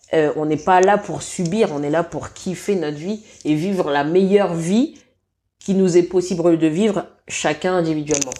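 A woman's dark, mellow voice with ordinary pitch variation, in a very clean recording with a silent background. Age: 30s. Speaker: massage therapist. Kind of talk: casual chat. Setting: at the host's home.

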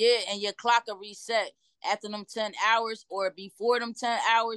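A woman with an American accent uses a plain, everyday voice at a fairly high pitch and moderate pace, with fairly even intonation and a dry, close sound with no echo over a quiet background. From Trenton, New Jersey. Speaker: truck driver. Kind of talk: casual interview.

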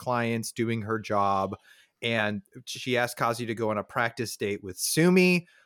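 Heard in a very clean recording with a silent background, a man speaks in a normal speaking voice with ordinary pitch variation. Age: 30s. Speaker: podcast host. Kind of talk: casual chat.

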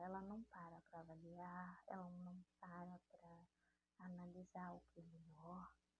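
This woman's voice is fairly low in pitch, somewhat breathy and dark and mellow in tone, moving at a fairly slow pace. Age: 30s. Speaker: evangelical podcaster. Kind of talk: devotional talk.

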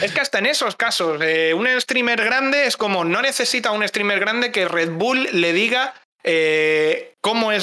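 In a raised, projected voice, a man speaks at a high pitch with lively intonation. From Spain, Cáceres (Extremadura). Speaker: community manager and streamer. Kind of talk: casual chat.

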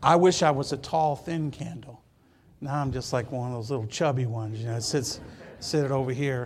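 Audible room echo carries a voice with an American accent. It moves at a fairly quick pace with ordinary pitch variation. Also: man, medium pitch for a man. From Michigan. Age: 60s. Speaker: pastor. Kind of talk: sermon. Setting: church.

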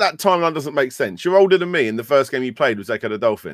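A man at a fast pace, with lively intonation and a dry, close sound with no echo. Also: medium pitch for a man, very clean recording, silent background.

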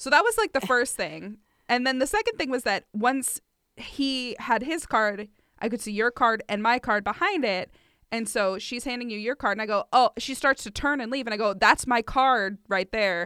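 Recorded very cleanly against a silent background, a woman with a high pitch and a bright, sharp tone speaks at a moderate pace with ordinary pitch variation in a dry, close sound with no echo. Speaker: podcast co-host. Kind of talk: casual chat. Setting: home recording. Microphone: brand new microphone and preamp.

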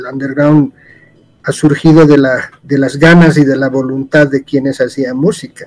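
Speaking at a fairly slow pace, a man with a Bolivian accent uses a fairly high pitch and a monotone, flat intonation. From Cochabamba, Bolivia. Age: 70s. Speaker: guest, architect and music fan. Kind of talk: casual chat.

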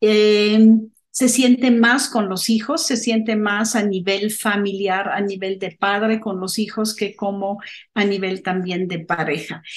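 Very slowly, a woman of medium pitch speaks with ordinary pitch variation. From abroad, not Mexico. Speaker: film podcast co-host. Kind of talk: casual film discussion.

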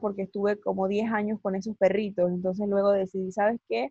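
A woman speaks with a medium pitch and a somewhat breathy voice. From Latin America. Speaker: psychologist and life coach, podcast host. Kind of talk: interview.

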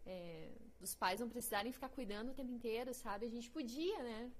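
Audible room echo surrounds a woman's fairly high pitch. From Paraná, Brazil (grew up near Curitiba). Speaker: actress. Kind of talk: casual chat. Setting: live-streamed podcast studio.

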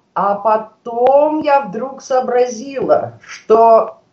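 The voice belongs to a woman and sits high in pitch. It holds a fairly even intonation. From Russia, Saint Petersburg. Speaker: writer. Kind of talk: radio interview.

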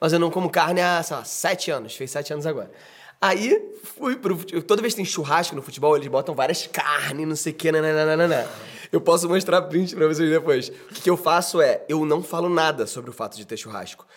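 Talking at a fairly quick pace, a man uses a high pitch with ordinary pitch variation. His loudness swings widely. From Brazil, Rio de Janeiro. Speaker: podcast host and actor. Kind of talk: casual chat.

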